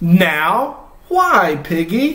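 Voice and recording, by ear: A man speaks at a very slow pace in a put-on character voice, high-pitched, with big pitch swings and a bright, sharp tone.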